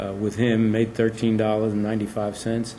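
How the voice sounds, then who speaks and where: In an American accent, a man with a fairly low pitch speaks at a moderate pace in a monotone, flat intonation, with audible room echo. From New York City (Queens). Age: 70s. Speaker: retired space program engineer. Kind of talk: oral history interview. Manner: conversational with frequent hesitations.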